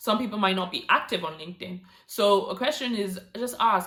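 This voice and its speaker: Noticeable background noise sits behind a woman speaking at medium pitch with ordinary pitch variation. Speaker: YouTuber giving career tips. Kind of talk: vlog tutorial. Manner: fast.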